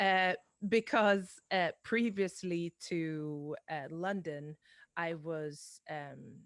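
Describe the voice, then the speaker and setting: In a Swedish accent, a woman speaks very slowly at a fairly low pitch with ordinary pitch variation, recorded very cleanly against a silent background with a dry, close sound and no echo. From Sweden. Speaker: singer-songwriter. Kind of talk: casual interview chat. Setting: live-streamed podcast.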